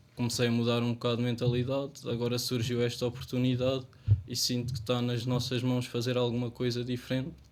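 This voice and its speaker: Fairly quick speech from a man at a medium pitch. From Portugal, Ferreira do Zêzere area. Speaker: local election candidate. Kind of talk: election debate.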